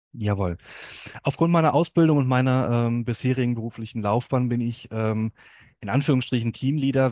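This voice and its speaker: A man with an unremarkable speaking voice talks at a fairly quick pace with fairly even intonation, the sound dry and close with no echo against a quiet background. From Hamm, Ruhr area, Germany. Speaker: dental billing consultant. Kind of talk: podcast interview.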